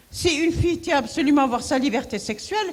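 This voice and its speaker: Her high-pitched voice moves with lively intonation at a fairly quick pace. The woman's speech carries audible room echo along with noticeable background noise. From Morocco, Marrakech. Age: 70s. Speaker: women's rights activist. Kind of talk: conference talk. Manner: animated.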